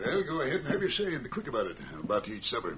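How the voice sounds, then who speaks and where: A man puts on a gruff character voice at a fairly high pitch, talking at a very fast pace over clear background noise. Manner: impatient, gruff.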